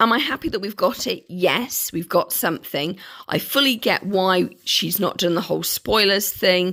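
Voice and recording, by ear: A woman speaks at a medium pitch and a moderate pace, with ordinary pitch variation. Her voice is croaky, with a fairly bright tone.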